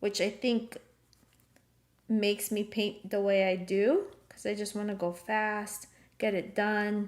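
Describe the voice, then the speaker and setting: A woman with a non-native accent speaks at a medium pitch in monotone, flat intonation. Her pace is very slow, with long, frequent pauses. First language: not English. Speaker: art teacher. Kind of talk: live painting class. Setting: live stream video call. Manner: casual, with many filler ums.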